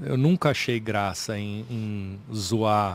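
The sound is dry with no echo as a man speaks at a fairly low pitch with ordinary pitch variation. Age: 40s. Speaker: comedian. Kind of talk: casual chat. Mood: thoughtful, relaxed. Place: studio. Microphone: studio mic.

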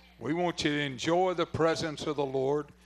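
An enthusiastic-sounding man at a moderate pace, with ordinary pitch variation. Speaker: preacher. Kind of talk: revival sermon and prayer. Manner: fervent, enthusiastic. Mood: warm, fervent. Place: tent. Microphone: handheld.

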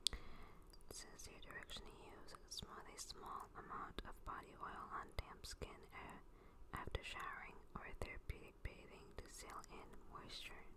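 The voice belongs to a woman who whispers. Her delivery is fairly slow. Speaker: ASMR creator. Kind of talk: ASMR product review. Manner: soft-spoken. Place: home room. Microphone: phone near.

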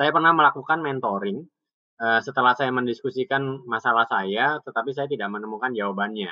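A man speaks at a very fast pace at a medium pitch, with ordinary pitch variation against a quiet background. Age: young. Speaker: webinar host. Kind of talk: casual online talk show. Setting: video call from home porch. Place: home room. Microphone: video call.

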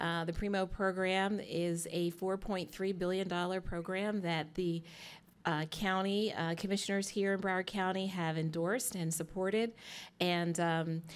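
A woman speaks at a fairly slow pace. Her intonation is monotone and flat. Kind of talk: opening remarks at public meeting. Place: hall. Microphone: podium.

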